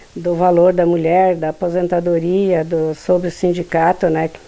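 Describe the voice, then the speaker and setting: Through noticeable background noise, a woman with a fairly low pitch talks at a fairly slow pace. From Rio Grande do Sul, Brazil. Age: 70s. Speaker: former union leader and councillor. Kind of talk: testimony.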